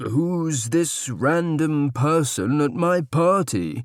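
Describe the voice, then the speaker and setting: Using a put-on character voice, a man speaks very slowly in a fairly high pitch, recorded very cleanly against a silent background. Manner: bored, indifferent.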